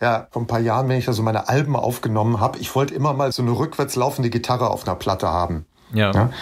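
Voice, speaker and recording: A very fast, somewhat breathy man with ordinary pitch variation, on a very clean recording with a silent background. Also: medium pitch for a man. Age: 50s. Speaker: music journalist and author. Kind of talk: casual interview chat.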